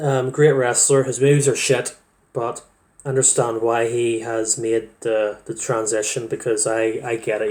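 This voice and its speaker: A man speaks with a Northern Irish accent at a medium pitch. His intonation is monotone and flat. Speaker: wrestling fan vlogger. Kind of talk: casual monologue. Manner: halting, many fillers.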